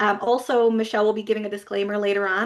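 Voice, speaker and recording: This woman has a slight Newfoundland accent. Her pitch sits at a medium level. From Newfoundland, Canada. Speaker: business coach for therapists. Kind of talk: webinar presentation.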